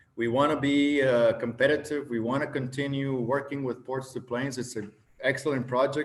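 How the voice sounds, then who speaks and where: A man with a Spanish accent speaks at a moderate pace with fairly even intonation, and audible room echo surrounds him. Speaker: government official. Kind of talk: conference presentation.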